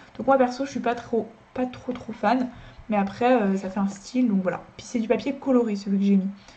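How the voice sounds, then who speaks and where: A woman's fairly high, fairly quick voice with fairly even intonation over noticeable background noise. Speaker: drawing youtuber. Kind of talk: casual review talk to camera. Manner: fast; hesitant with many fillers.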